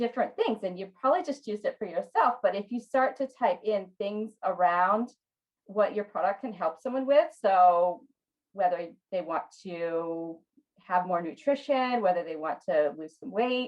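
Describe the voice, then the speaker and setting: A woman speaks in a normal speaking voice, at a medium pitch. Her intonation is lively and her pace moderate. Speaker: Pinterest marketing expert and online business owner. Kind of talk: online training session.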